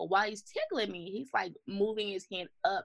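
A woman at a mid-range pitch, a normal speaking voice, with lively intonation and a medium speed. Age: 30s. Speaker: mother running a mothers' support organization. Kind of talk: interview testimony.

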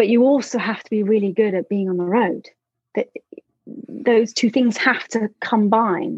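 A woman with a London accent speaks fairly slowly. Her voice is fairly high, with ordinary pitch variation. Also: dry, close sound with no echo. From London, England. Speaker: tour manager. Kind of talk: casual interview chat. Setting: video call. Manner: hesitant, many fillers and repetitions.

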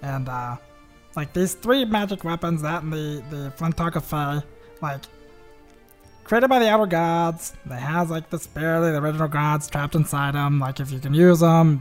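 A put-on character voice at a middle pitch plays over faint music in the background. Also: moderate pace. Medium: actual play. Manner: casual, rambling, filler-heavy.

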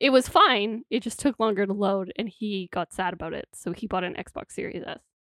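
Recorded with a dry, close sound and no echo, a woman talks at a fairly quick pace in an unremarkable speaking voice of medium pitch with ordinary pitch variation. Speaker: podcast co-host. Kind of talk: casual chat.

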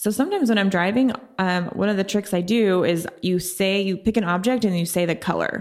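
A normal speaking voice from a woman at medium pitch, fairly quick in pace, with very even loudness and fairly even intonation. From Oklahoma City. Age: 30s. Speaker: health and fitness coach. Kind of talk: interview conversation.

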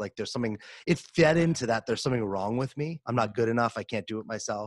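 A plain, everyday voice is heard over a quiet background. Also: man, dry, close sound with no echo. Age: 30s. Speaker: podcast host and performance coach. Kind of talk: interview conversation. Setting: home recording studio.

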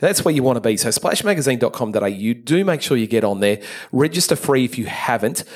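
With an Australian accent, a man talks at a fairly quick pace in an animated tone with lively intonation, against noticeable background noise. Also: medium pitch for a man. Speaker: pool industry podcast host. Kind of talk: casual podcast narration and interview. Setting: on location at a trade event.

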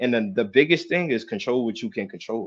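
A man with a New Jersey accent at a very fast pace, medium pitch and lively intonation, against a quiet background. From New Jersey, Jersey City. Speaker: professional basketball player. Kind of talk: casual interview.

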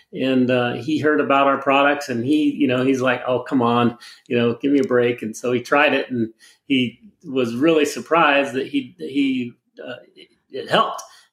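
In a normal speaking voice, the speaker talks at a moderate pace with fairly even intonation and big swings in loudness. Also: man, medium pitch for a man. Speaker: product pitchman. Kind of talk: infomercial sales pitch. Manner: filler-heavy, rambling, stop-start.

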